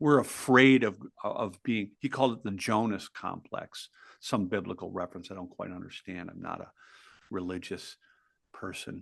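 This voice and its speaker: At a moderate pace, a man with a plain, everyday voice and fairly low pitch speaks with ordinary pitch variation and big swings in loudness against a quiet background. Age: 60s. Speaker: author and entrepreneur. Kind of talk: podcast interview.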